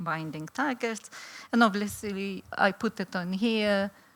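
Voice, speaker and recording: A woman speaks with a Lithuanian accent at a fairly slow pace, with ordinary pitch variation. The recording is very clean, with a silent background. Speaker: law professor. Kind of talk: conference talk. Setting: stage with audience. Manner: halting, many fillers.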